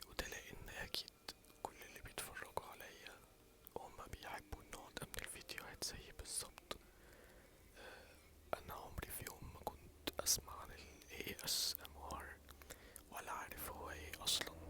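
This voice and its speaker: A man whispers at a fairly slow pace, leaving long, frequent pauses. Noticeable background noise runs underneath. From Egypt. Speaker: ASMR creator. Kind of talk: casual talk to camera. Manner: soft-spoken, whispering.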